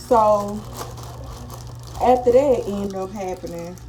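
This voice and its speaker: Noticeable background noise and audible room echo around a female voice. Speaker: beauty vlogger. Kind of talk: casual storytime and makeup tutorial. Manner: whispering.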